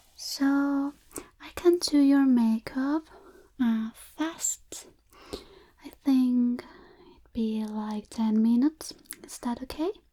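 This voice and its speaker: Soft-spoken and very slow, a woman talks in a high pitch with a dark, mellow tone, ordinary pitch variation and big swings in loudness. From Chile. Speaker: ASMR artist. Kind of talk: ASMR makeup roleplay.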